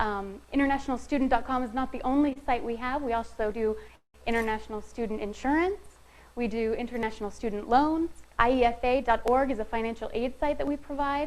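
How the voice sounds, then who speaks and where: A woman with a high voice talks at a fairly quick pace with ordinary pitch variation, and the room echo is audible. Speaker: marketing specialist presenting a session. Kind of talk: conference presentation. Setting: room with live audience, no microphone. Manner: soft-spoken.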